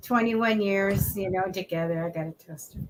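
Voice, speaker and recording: A bright, sharp tone at a moderate pace. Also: woman. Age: 60s. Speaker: psychic reader, show host. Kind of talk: tarot reading. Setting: live stream.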